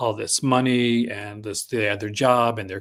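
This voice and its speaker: A man with a Newfoundland accent speaks at a medium pitch in a monotone, flat intonation, in a very clean recording with a silent background. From Newfoundland, Canada. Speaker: film podcast guest, physical media reviewer. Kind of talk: casual podcast chat.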